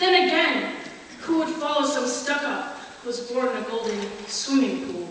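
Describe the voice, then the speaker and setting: Noticeable background noise sits behind a woman's high-pitched voice. She speaks at a moderate pace with lively intonation. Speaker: spoken word poet. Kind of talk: spoken word poetry performance.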